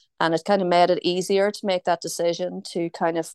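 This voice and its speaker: Fairly quick, fairly even speech with a Northern Irish accent, a dry, close sound with no echo and a quiet background. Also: woman. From Tyrone, Northern Ireland. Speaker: food company founder. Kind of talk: casual radio interview. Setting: online video call.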